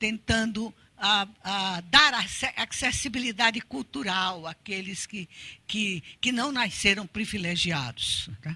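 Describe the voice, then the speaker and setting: A woman speaks at a medium pitch with a bright, sharp tone and lively intonation. Her pace is very slow, and her loudness swings widely. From Brazil, Pernambuco (Recife). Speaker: art educator and researcher. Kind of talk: lecture. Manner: halting, many repetitions.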